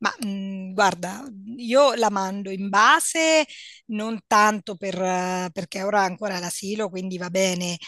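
A woman talks in an ordinary speaking voice at a medium pitch. Her pitch varies in an ordinary way against a quiet background. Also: fairly slow pace. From central Italy, Perugia. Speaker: psychologist. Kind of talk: casual chat.

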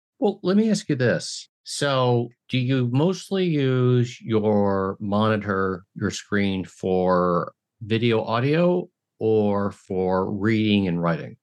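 A man speaks at a very slow pace in a medium pitch. His intonation is lively, yet his loudness stays very even. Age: 50s. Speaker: podcast host. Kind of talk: casual interview.

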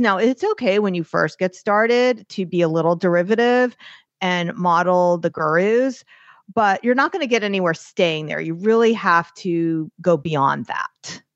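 A woman with an American accent, a normal speaking voice, medium pitch, lively intonation and a fairly slow pace. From New York. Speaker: artist and business coach. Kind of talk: interview.

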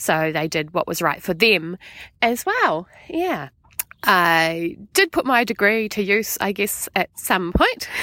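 A woman with a medium pitch and a bright, sharp tone speaks at a very slow pace. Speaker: former library manager, former unschooled student. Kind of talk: recorded testimony.

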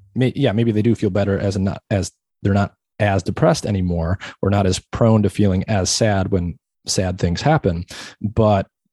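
Against a quiet background, a man with a normal speaking voice and fairly low pitch talks at a moderate pace, with ordinary pitch variation, very even loudness, and a dry, close sound with no echo. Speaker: podcast host. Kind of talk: interview.

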